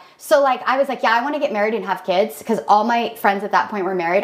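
Talking at a very fast pace, a woman with a fairly high pitch and ordinary pitch variation is heard over noticeable background noise. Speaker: podcast co-host. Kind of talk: casual chat.

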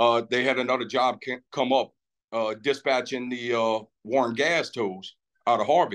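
A man with a Louisiana accent speaks at a medium pitch and fairly slow pace, keeping his intonation fairly even and leaving long, frequent pauses. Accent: Cajun Louisiana. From Lafitte, Louisiana. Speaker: dispatcher and Navy veteran. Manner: relaxed, hesitant with fillers.

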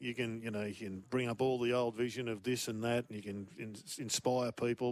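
On a very clean recording with a silent background, a man with an Australian accent speaks at a medium pitch and a fairly quick pace. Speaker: football pundit. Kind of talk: casual chat.

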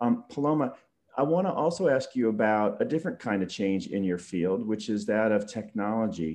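Against a quiet background, a man with a plain, everyday voice speaks at a fairly quick pace in a medium pitch with lively intonation. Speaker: podcast host. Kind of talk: casual interview.

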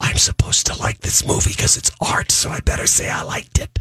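A man whispers very fast in a put-on character voice, the sound dry and close with no echo. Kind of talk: mock-secretive. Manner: whispering.

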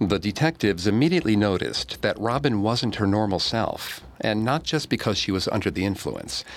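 A man's fairly low-pitched voice with vocal fry, lively intonation, very even loudness, a fairly quick pace and hardly any pauses. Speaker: podcast narrator. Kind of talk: true-crime narration. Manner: measured, grave storytelling tone.

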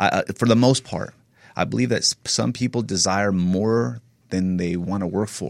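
At a moderate pace, a man with an American accent uses a normal speaking voice, fairly low in pitch, with lively intonation. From Northern California. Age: 30s. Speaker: personal trainer and physique competitor. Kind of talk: casual interview.

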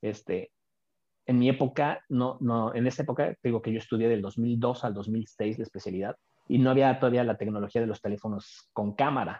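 The speaker uses a Mexico City accent, talking at a moderate pace with fairly even intonation. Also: man, medium pitch for a man. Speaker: oral and maxillofacial surgeon. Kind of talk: interview.

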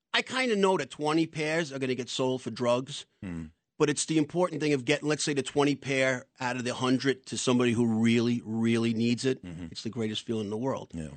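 Hardly pausing, the speaker talks at a fairly quick pace with lively intonation in a New York accent. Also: man, medium pitch for a man. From New York City. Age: 60s. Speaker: doorman and charity founder. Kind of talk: radio interview. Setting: studio.

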